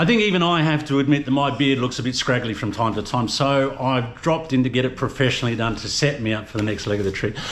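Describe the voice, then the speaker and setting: Talking at a very fast pace with hardly any pauses, a man with a medium pitch and ordinary pitch variation is heard with audible room echo and noticeable background noise. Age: old. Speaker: travel vlogger. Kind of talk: casual vlog talk and street interviews.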